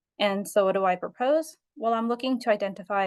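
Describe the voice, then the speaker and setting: A woman speaks very fast with ordinary pitch variation. Behind her, the background stays quiet. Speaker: graduate student presenting capstone project. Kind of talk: academic presentation. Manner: hesitant, many fillers.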